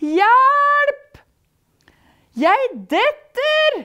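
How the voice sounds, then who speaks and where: Using a put-on character voice, a woman pitches her speech extremely high. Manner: crying out in alarm.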